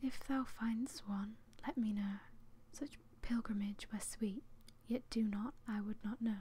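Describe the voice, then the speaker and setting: Soft-spoken and somewhat breathy, a woman with a fairly high pitch talks at a fairly slow pace in a relaxed tone with fairly even intonation. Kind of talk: poetry reading, soft-spoken ASMR. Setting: home, close microphone. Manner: soft-spoken, relaxed.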